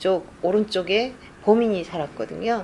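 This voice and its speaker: A woman's unremarkable speaking voice at medium pitch, with ordinary pitch variation. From South Korea, Gwangju area. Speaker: crime novelist. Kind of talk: interview answers at a book event. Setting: room with live audience, no sound system.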